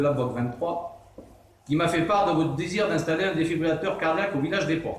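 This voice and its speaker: The speech carries ordinary pitch variation, with audible room echo and noticeable background noise. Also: man. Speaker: association president. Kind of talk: formal speech. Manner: stumbling; formal.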